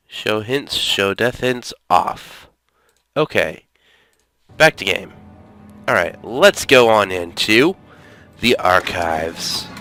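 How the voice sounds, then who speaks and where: Over music in the background, a man with a fairly low pitch and lively intonation speaks at a very slow pace with long, frequent pauses, in a dry, close sound with no echo. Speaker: gaming let's play commentator. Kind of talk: casual gameplay commentary.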